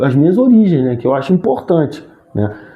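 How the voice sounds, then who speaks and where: Noticeable background noise sits under the recording. This man's pitch swings very widely. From Rio de Janeiro, Brazil. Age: 60s. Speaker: sports commentator and actor. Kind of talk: interview conversation. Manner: halting, frequent restarts.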